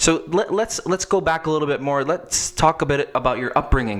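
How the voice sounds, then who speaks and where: Man at a moderate pace with lively intonation, noticeable background noise. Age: 30s. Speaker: podcast host. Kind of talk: interview. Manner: animated.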